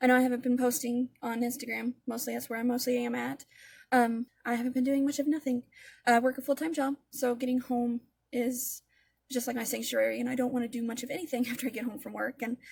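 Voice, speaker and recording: A woman talks very fast in a high voice. Her intonation stays monotone and flat. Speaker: makeup tutorial creator. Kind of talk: casual talk-through makeup tutorial. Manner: stammering.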